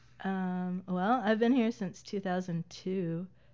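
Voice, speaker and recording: Very slow, drawn-out speech from a woman in an American accent. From US South, Middle Tennessee (Lawrenceburg). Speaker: musician. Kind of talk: casual interview chat.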